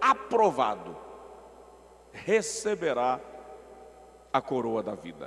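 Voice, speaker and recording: Over noticeable background noise, a man talks at a very slow pace. His pitch swings very widely. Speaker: guest preacher. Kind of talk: sermon. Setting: large auditorium with echo. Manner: slow, deliberately paced.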